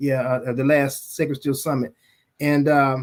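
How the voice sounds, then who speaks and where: At a moderate pace, a man talks in a very clean recording with a silent background. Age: 60s. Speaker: music label owner and museum founder. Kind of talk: podcast interview. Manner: halting, frequent repetitions.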